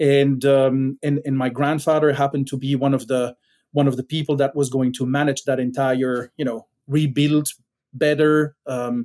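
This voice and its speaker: A man with a Belgian accent speaks at a moderate pace in a fairly high pitch, his dark, mellow tone delivered with monotone, flat intonation. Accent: Belgian accent, noticeable. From Belgium. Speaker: tech startup founder. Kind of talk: podcast interview. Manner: hesitant, many fillers.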